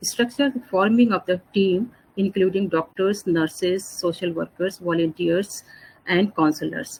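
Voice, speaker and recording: A woman's medium-pitched voice with ordinary pitch variation. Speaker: pain and palliative care doctor. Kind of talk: lecture. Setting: online webinar. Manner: fast.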